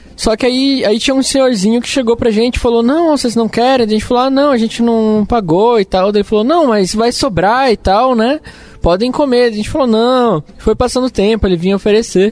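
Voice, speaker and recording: Over noticeable background noise, a man talks at an extremely high pitch. He barely pauses. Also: ordinary pitch variation. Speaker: software company employee. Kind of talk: casual chat.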